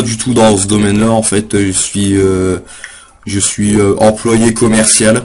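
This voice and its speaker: A man's fairly low, monotone, flat voice at a very slow pace amid noticeable background noise. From northern France. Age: 20s. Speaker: poet. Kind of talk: casual chat. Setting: live webcam stream. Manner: halting.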